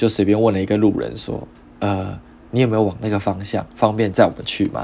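Fairly low in pitch and fairly even in intonation, a man talks in an unremarkable speaking voice. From Taiwan. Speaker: podcast host. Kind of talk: casual monologue.

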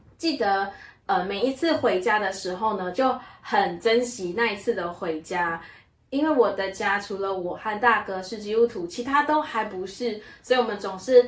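At a fairly slow pace, a woman speaks in a medium pitch with ordinary pitch variation over noticeable background noise. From Malaysia. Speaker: church member sharing her life story. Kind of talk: testimony.

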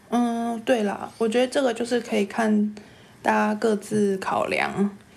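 At a fairly slow pace, a woman speaks at medium pitch in an ordinary speaking voice. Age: 30s. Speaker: podcast co-host. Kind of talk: casual chat.

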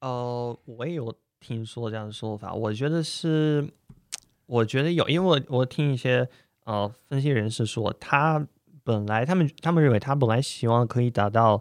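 Recorded with a dry, close sound and no echo, a man with a Russian accent talks at a moderate pace in a medium pitch with ordinary pitch variation. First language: Russian (speaking Chinese). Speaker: Russian guest commentator. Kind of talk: casual interview. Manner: halting, many fillers.

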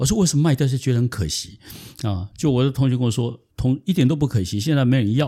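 A man's somewhat breathy, dark and mellow voice at a medium pitch and a very fast pace. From southern Taiwan. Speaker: consultant. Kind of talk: interview. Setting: in-person studio recording. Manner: halting.

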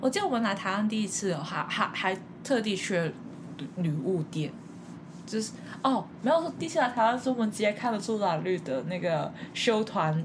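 A woman at medium pitch, with lively intonation and a moderate pace. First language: Cantonese (speaking Chinese). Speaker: podcast host. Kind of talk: casual chat.

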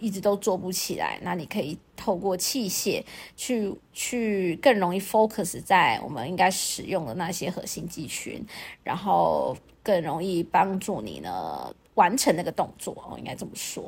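On a very clean recording with a silent background, the speaker uses lively intonation and vocal fry at a fairly slow pace, with big swings in loudness. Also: woman, medium pitch for a woman. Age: 40s. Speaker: podcast host and fitness and dance instructor. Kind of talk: casual monologue.

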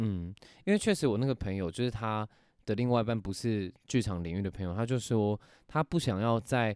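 A man with a plain, everyday voice, fairly low in pitch and fairly quick in pace, in a dry, close sound with no echo on a very clean recording with a silent background. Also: ordinary pitch variation. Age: 20s. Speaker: actor and podcast co-host. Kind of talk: casual chat.

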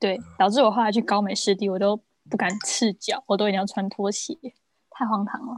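Fairly quick, somewhat breathy speech from a woman at medium pitch, with a dry, close sound and no echo. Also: fairly even intonation. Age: 20s. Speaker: luxury goods personal shopper. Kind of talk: casual chat.

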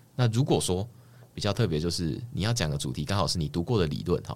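A man with a very deep, low pitch and vocal fry talks at a very fast pace. His pitch swings very widely. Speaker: doctoral student and presentation competition winner. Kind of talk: casual interview chat. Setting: recording studio.

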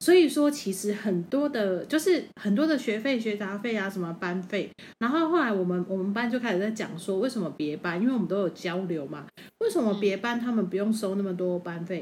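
At a fairly quick pace, a woman with a Taiwanese accent speaks at medium pitch with lively intonation. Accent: Taiwanese Mandarin. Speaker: podcast co-host. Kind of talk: casual chat.

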